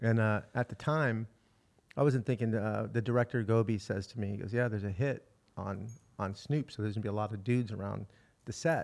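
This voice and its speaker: A man with a plain, everyday voice, fairly low in pitch, speaks fairly quickly with fairly even intonation on a very clean recording with a silent background. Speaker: podcast co-host. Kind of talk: casual interview conversation.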